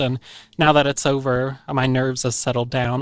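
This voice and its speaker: A medium-pitched male voice in a very clean recording with a silent background. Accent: American. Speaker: podcast host. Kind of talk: casual chat. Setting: studio.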